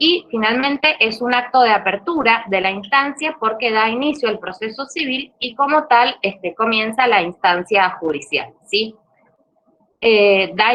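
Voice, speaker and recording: Intonation runs lively even as the speech stays at a fairly slow pace. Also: woman. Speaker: law lecturer. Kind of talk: online lecture. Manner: hesitant fillers.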